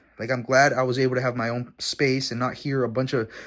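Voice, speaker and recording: With a non-native accent, a man of medium pitch speaks at a fairly quick pace on a very clean recording with a silent background. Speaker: vlogger. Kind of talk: casual vlog talk to camera. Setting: at his dad's house.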